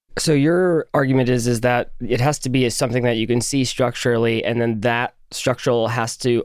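A man with a plain, everyday voice speaks at a moderate pace and medium pitch. His intonation stays fairly even in a very clean recording with a silent background. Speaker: podcast host. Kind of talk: scripted narration.

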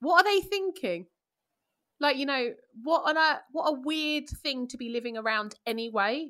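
A woman's bright, sharp voice with a London accent and very wide pitch swings, on a very clean recording with a silent background. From East London, England. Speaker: classicist and media presenter. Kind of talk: casual chat. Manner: animated.

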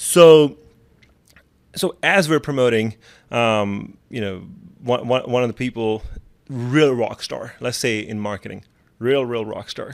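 Very slow with long, frequent pauses, a man speaks at a medium pitch with ordinary pitch variation on a very clean recording with a silent background. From Pakistan. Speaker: blogger and business founder. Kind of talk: interview conversation.

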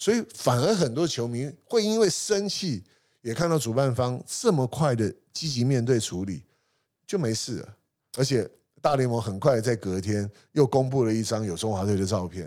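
A man talks in a dark, mellow tone with lively intonation. The recording is very clean, with a silent background. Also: medium pitch for a man, moderate pace. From Taiwan, Hsinchu. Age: 50s. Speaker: sports marketing company founder. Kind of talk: interview conversation.

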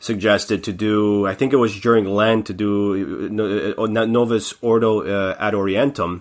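A man with an ordinary speaking voice talks at a fairly low pitch and moderate pace. His intonation is fairly even, with hardly any pauses. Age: 30s. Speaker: podcast co-host. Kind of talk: casual chat.

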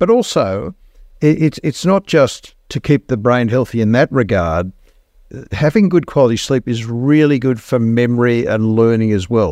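A man with an Australian accent speaks at medium pitch and a moderate pace, with a dark, mellow tone and lively intonation. The sound is dry and close with no echo, over a quiet background. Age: 60s. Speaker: cardiologist and podcast co-host. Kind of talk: casual chat.

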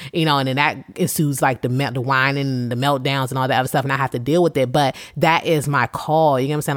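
This woman's voice is very deep and low in pitch, with fairly even intonation. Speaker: faith podcast host. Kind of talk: casual monologue. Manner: conversational, unscripted.

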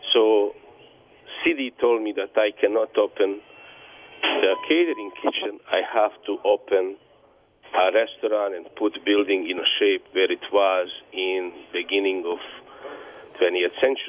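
Speaking with a Bosnian accent, a man talks at a fairly slow pace, leaving long, frequent pauses. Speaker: business owner, bar owner and refugee. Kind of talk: interview answers, personal story. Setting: phone call.

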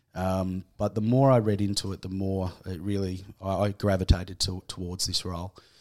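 In an Australian accent, a man with a very deep, low pitch talks at a moderate pace in a monotone, flat way, with hardly any pauses, on a very clean recording with a silent background. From Tasmania, west coast. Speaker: homeless shelter manager. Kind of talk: casual interview. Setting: studio.

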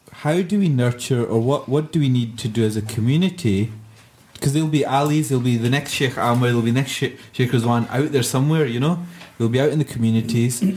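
The speaker has a Glasgow accent and a very fast pace. The pitch variation is ordinary and the loudness very even. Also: man, medium pitch for a man. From Scotland. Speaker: podcast host. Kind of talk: casual panel discussion. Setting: studio.

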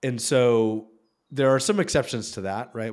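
A man uses an ordinary speaking voice at a medium pitch and a moderate pace, on a very clean recording with a silent background. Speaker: venture capital investor. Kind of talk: casual interview chat.

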